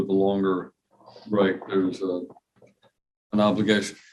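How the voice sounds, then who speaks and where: Heard with audible room echo, a man with an American accent speaks at a moderate pace. His pitch is fairly low and his intonation monotone and flat. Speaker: judge. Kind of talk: courtroom proceedings. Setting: courtroom.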